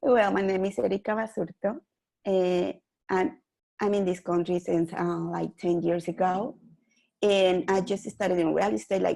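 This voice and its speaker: At a moderate pace, a woman with a Mexican accent speaks at medium pitch in a dark, mellow tone, with ordinary pitch variation. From Mexico (Mexico City). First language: Spanish. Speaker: real estate investor. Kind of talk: interview.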